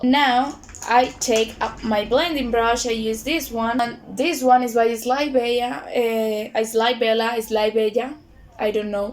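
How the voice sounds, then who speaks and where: Someone with a Spanish accent speaks at a very slow pace against noticeable background noise. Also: woman. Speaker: beauty vlogger. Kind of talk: tutorial. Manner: halting.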